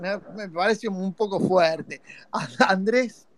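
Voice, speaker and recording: A man with a high-pitched voice speaks in an animated tone with ordinary pitch variation over noticeable background noise. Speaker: fan podcast host. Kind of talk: live call-in fan show. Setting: live online audio space.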